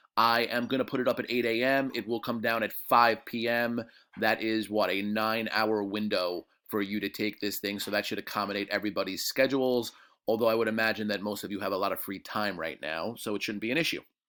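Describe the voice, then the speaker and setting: Fairly even intonation marks a man's fairly low voice, captured on a very clean recording with a silent background. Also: fairly quick pace. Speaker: high school history teacher. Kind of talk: recorded lecture review for students. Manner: casual, many fillers.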